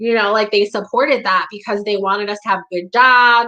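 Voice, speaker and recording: A woman speaks with an American accent at a fairly high pitch. Her tone is bright and sharp, with fairly even intonation. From New York area, Westchester County. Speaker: community talk host. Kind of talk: casual monologue. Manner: casual, filler-heavy.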